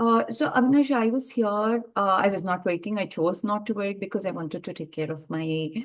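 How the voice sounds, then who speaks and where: Over a quiet background, a woman with a Telugu accent speaks at a fairly quick pace and medium pitch, with ordinary pitch variation and hardly any pauses. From India. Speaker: entrepreneur in early education. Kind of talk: interview. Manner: hesitant with many fillers.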